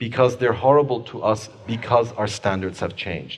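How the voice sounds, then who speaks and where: A man talks with a slight Persian accent. His pitch is medium and his pace moderate. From Iran. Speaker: author and human rights lawyer. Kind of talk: book talk Q&A. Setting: book club event with audience. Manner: fluent, polished.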